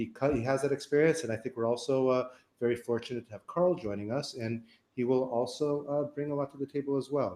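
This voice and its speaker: The speech moves at a very fast pace. Its intonation is fairly even. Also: man. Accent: American. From Florida, US. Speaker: online marketing webinar host. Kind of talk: live webinar panel intro. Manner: casual with many fillers.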